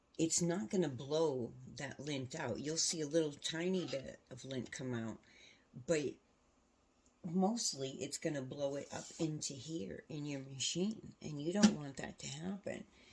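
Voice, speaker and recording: A soft-spoken woman with a very deep, low pitch, ordinary pitch variation and a fairly slow pace. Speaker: quilting tutorial host. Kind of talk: tutorial. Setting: home sewing room, alone.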